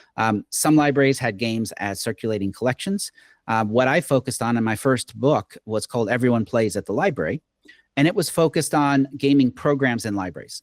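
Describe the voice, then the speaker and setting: In an American accent and an unremarkable speaking voice, a man of medium pitch talks at a fairly quick pace with lively intonation, on a very clean recording with a silent background and a dry, close sound with no echo. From Oklahoma, US. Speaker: game design professor. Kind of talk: interview.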